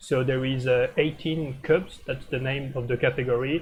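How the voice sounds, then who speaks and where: A man with a French accent talks at a moderate pace over noticeable background noise. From France. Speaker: streamer commenting board games. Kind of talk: live game commentary stream. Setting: live stream. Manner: hesitant, many filler uh.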